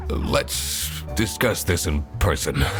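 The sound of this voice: A man's put-on character voice, extremely low in pitch, slow in pace and lively in intonation, with clear music in the background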